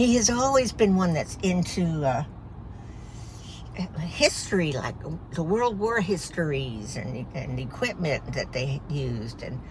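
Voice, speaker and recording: A woman's voice at a fairly slow pace, with very wide pitch swings, long, frequent pauses and light background noise. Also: fairly low pitch for a woman. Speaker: vlogger. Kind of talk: casual vlog chat. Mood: proud, cheerful. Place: car. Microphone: phone near.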